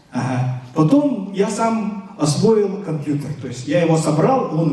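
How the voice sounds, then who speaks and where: Through noticeable background noise and audible room echo, a man speaks with a fairly high pitch and very wide pitch swings. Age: 60s. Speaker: lecturer. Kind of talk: lecture to students. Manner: hesitant, many filler sounds.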